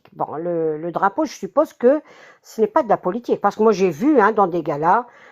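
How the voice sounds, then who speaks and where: A woman speaks with very wide pitch swings. The sound is dry and close, with no echo. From Kabylie, Algeria. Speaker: concertgoer at center of controversy. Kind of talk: interview testimony. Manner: halting.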